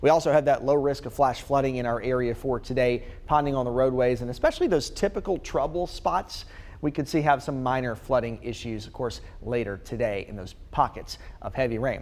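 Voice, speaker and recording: A man with an American accent talks at a fairly quick pace and a medium pitch. It is an ordinary speaking voice with ordinary pitch variation. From North Carolina, USA. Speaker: TV meteorologist. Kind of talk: TV weather forecast. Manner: clear, steady, friendly.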